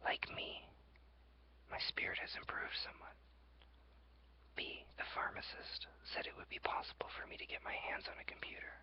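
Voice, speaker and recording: Over noticeable background noise, a whisper moves at a moderate pace, broken by long, frequent pauses. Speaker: ASMR creator. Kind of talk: ASMR journal reading. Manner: whispered.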